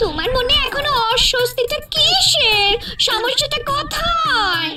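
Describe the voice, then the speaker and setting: In a cartoonish character voice, a woman speaks at an extremely high pitch. Her pace is very slow. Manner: sharp, prodding.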